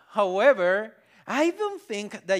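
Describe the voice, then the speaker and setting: At a moderate pace, a man speaks with a Spanish accent. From Colombia, Barranquilla (Caribbean coast). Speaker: pastor. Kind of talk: sermon. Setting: church.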